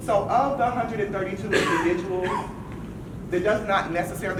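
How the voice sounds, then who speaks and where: Loud and high-pitched, a man talks at a fairly quick pace amid noticeable background noise and audible room echo. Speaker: state transportation agency staff. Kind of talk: workshop presentation. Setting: room with audience, no microphone.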